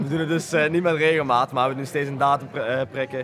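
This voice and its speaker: Noticeable background noise under a fairly high-pitched male voice. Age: 20s. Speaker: volunteer foundation co-founder. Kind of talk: interview. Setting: community centre. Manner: hesitant, many filler sounds.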